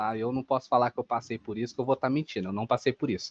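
Against a quiet background, a man speaks in an unremarkable speaking voice at medium pitch with ordinary pitch variation. The recording is dry and close, with no echo. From Minas Gerais, Brazil. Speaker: affiliate marketer, content creator. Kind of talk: casual interview.

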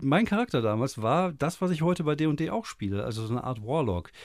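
Very wide pitch swings mark this man's moderate-paced speech, recorded very cleanly against a silent background. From Germany. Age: 40s. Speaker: podcast host. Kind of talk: casual chat. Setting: small home studio.

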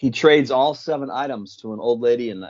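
A man speaks at a moderate pace with ordinary pitch variation in an ordinary speaking voice. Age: 50s. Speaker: magazine founder and writer. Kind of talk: casual chat.

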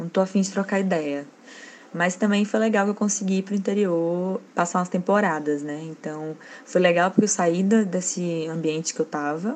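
A woman's medium-pitched, plain, everyday voice with ordinary pitch variation. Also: moderate pace. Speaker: designer. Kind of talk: recorded monologue.

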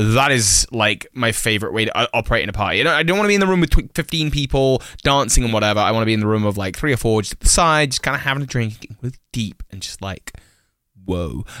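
The voice is bright and sharp, with lively intonation at a very fast pace. The recording is very clean, with a silent background. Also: man, medium pitch for a man. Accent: British. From England. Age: 20s. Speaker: podcast co-host. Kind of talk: casual chat. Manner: theatrical.

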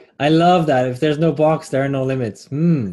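A man talks at a fairly quick pace with a fairly high pitch. His voice is somewhat breathy. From Switzerland. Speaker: podcast host. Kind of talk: interview.

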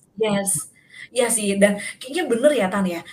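Over noticeable background noise, the speech has ordinary pitch variation and a moderate pace. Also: woman. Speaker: podcast host. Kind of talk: casual chat.

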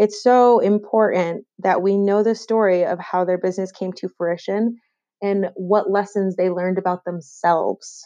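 A woman speaks with a Western New York accent in a dark, mellow tone. Her intonation is monotone and flat. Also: medium pitch for a woman, moderate pace. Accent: Western New York (Inland North) American. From Western New York, Rochester. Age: 20s. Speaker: podcast host. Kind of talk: solo podcast monologue.

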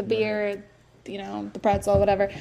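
Over noticeable background noise, a woman talks at a very fast pace with lively intonation. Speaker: podcast co-host. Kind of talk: casual chat. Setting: in person with co-hosts.

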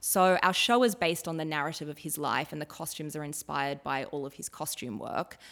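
A woman with an Australian accent and a very deep, low pitch speaks fairly quickly with hardly any pauses, on a very clean recording with a silent background. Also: ordinary pitch variation, big swings in loudness. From Australia, northern New South Wales (Ballina). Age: 30s. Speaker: fashion and costume designer. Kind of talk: interview conversation.

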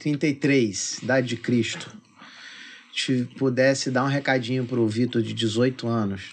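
This is a man with an ordinary speaking voice. He speaks at a fairly slow pace with fairly even intonation. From Magé, Rio de Janeiro state. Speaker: podcast host. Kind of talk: casual chat.

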